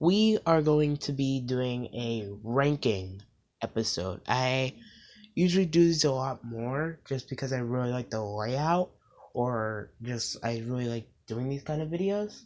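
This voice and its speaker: Speaking at a fairly slow pace, a man with a plain, everyday voice uses lively intonation at a medium pitch. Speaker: YouTuber. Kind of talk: casual video commentary.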